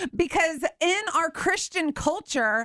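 Loud and bright with a sharp tone, a woman with an American accent speaks at a very slow pace. Her intonation is lively, and the sound is dry and close with no echo. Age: 40s. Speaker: radio host. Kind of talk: radio interview. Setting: radio studio.

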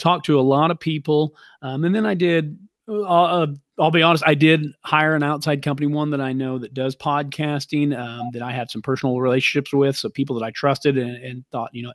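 A man's fairly high, ordinary speaking voice with an American accent, fairly quick in pace, with ordinary pitch variation and big swings in loudness, on a very clean recording with a silent background and a dry, close sound with no echo. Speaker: lumber yard operator. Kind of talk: interview.

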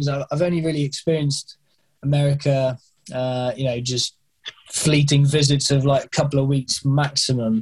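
A man speaks at a moderate pace with a fairly high pitch. His intonation is fairly even. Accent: British. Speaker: skydiving instructor. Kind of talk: interview conversation. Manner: halting, many repeated words and fillers.

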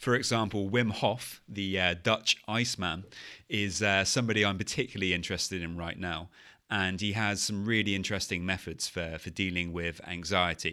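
On a very clean recording with a silent background, a man with a very deep, low pitch speaks in fairly even intonation. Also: moderate pace. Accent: British. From UK. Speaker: anxiety and OCD coach, podcast host. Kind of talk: solo podcast monologue.

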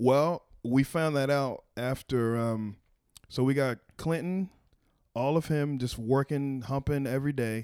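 At a fairly slow pace, a man with an American accent talks in a plain, everyday voice at a medium pitch with ordinary pitch variation, the sound dry and close with no echo. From Texas, Waco. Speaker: stand-up comedian. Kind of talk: casual chat.

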